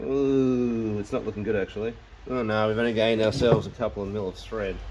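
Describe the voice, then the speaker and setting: A man speaks quietly at a very fast pace in a fairly low pitch, his intonation fairly even, with noticeable background noise. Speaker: DIY mechanic vlogger. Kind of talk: workshop tutorial vlog. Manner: quiet, talking while concentrating.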